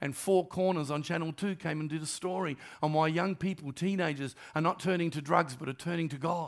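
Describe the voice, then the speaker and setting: This man's pitch is high, and he speaks with an Australian accent at a fairly quick pace with fairly even intonation. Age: 60s. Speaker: pastor. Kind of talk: sermon. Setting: church.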